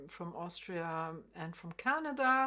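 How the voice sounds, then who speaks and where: Speaking at a very slow pace, a woman talks with a German accent. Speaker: harp teacher. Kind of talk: interview. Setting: video call. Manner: halting.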